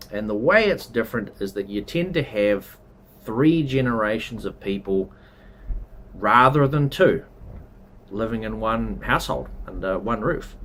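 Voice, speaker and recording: Pausing long and often, a man with a New Zealand accent speaks at a fairly slow pace with lively intonation. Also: medium pitch for a man. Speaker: travel and culture vlogger. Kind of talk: casual explainer monologue. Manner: conversational, with fillers.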